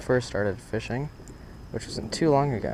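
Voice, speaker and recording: A man holds a medium pitch with ordinary variation while noticeable noise sits behind him. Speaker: fishing vlogger. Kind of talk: casual vlog commentary. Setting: outdoors. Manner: halting; casual.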